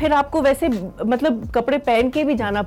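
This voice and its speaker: Noticeable background noise sits behind a woman's voice. She has a high pitch and ordinary pitch variation. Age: 40s. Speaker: actress. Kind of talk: interview.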